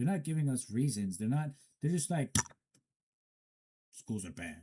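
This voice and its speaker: This man's voice has a dark, mellow tone and is somewhat breathy, at a medium pitch. He talks at a moderate pace with very wide pitch swings. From Afghanistan, Herat. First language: not English. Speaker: commentator. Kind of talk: solo commentary. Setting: studio. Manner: halting, stumbling.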